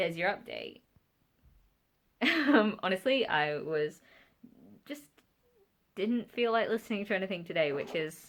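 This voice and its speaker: Speaking at a moderate pace, a woman with a medium pitch uses lively intonation. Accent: British. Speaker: book vlogger. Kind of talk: casual talk to camera.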